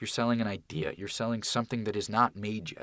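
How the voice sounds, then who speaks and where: The man talks at a fairly quick pace. He has a Californian accent. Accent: Californian American. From Santa Monica, Los Angeles, California. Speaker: college student, aspiring TV writer and producer. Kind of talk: podcast interview. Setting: sound booth studio.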